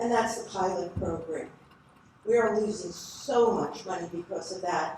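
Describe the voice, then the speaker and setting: Noticeable background noise and audible room echo fill the recording. Through them, a woman talks at a moderate pace. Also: medium pitch for a woman, ordinary pitch variation. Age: 70s. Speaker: public commenter. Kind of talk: public comment at planning board meeting. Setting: township planning board meeting.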